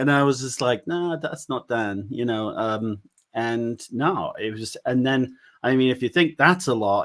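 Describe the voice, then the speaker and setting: Talking at a fairly slow pace with ordinary pitch variation, a man comes through on a very clean recording with a silent background. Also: medium pitch for a man. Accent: American. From West Country England, Bath area. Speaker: paranormal investigator. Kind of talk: casual chat.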